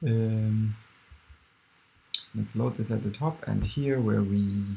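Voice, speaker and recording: A man mumbling very slowly at a fairly low pitch. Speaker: programmer. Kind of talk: screen-recorded coding tutorial. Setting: poor-quality recording. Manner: mumbling, hesitant.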